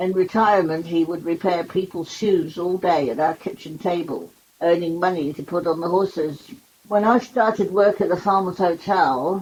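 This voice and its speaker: Pitched fairly low, a woman talks at a moderate pace with ordinary pitch variation. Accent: Cornish. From Cornwall, England. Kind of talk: memoir reading.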